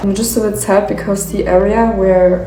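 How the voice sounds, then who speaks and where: A woman at a medium pitch and a fairly slow pace, with audible room echo and noticeable background noise. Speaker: lifestyle vlogger. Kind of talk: casual vlog narration. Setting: at home in new apartment.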